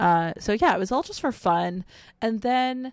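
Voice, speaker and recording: A woman with a plain, everyday voice, fairly high in pitch, at a fairly slow pace with lively intonation, on a very clean recording with a silent background. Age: 30s. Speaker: streamer and cosplayer. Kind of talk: casual interview.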